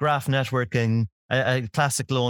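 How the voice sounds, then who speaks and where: A man with an Irish accent is heard on a very clean recording with a silent background and a dry, close sound with no echo. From Ireland. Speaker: fraud tech co-founder, ex law enforcement. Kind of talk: interview conversation.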